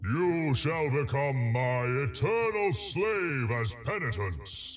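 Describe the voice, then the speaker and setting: A man's booming put-on character voice at medium pitch, very slow, with faint music in the background. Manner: thunderous, commanding.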